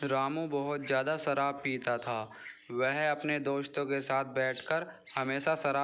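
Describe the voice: Someone reads aloud plainly. The delivery is a straightforward reading.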